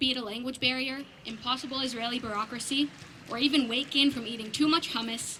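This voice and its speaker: There's noticeable background noise behind a woman with a high pitch. She speaks at a fairly quick pace. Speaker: graduating student speaker. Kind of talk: graduation speech.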